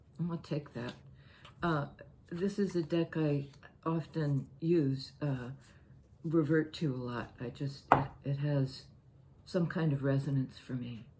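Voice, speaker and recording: Fairly slow and somewhat breathy, a woman's very deep, low voice carries a dark, mellow tone with ordinary pitch variation. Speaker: tarot reader. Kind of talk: tarot reading. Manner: halting.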